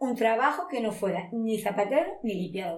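A woman speaks at a fairly high pitch. Room echo is audible. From Spain, Monóvar, inland Alicante (Valencia region). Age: 50s. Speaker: shoe factory worker. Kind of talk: interview testimony.

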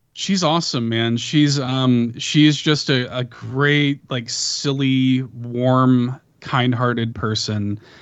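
With an American accent, a man talks at a very slow pace in a medium pitch with fairly even intonation. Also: hardly any pauses. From Chicago, US. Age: 30s. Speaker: podcaster. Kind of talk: casual chat. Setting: video call.

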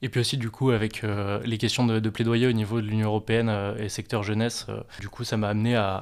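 A man delivers his words in a fairly low pitch with flat, monotone intonation. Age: 20s. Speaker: aspiring gendarme, former student entrepreneur. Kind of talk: interview. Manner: halting, many repetitions and fillers.

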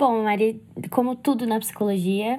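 Somewhat breathy and dark, mellow in tone, a woman speaks at a moderate pace with ordinary pitch variation. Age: 20s. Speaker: psychology student. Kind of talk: casual chat. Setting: remote call. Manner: talkative.

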